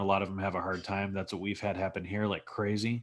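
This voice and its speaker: Over a silent background in a very clean recording, a man with a Texas accent talks very fast at a fairly low pitch. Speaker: former plumber pitching a business project. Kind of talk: sales pitch.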